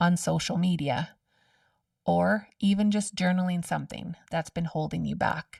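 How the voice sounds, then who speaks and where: Somewhat breathy and fairly slow, the voice shows ordinary pitch variation in a very clean, dry, close recording with no echo and a silent background. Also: woman. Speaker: podcast host. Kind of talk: solo podcast monologue.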